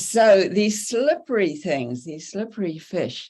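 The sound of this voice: A woman with a New Zealand accent speaks at a very slow pace against a quiet background. Her medium-pitched voice makes very wide pitch swings.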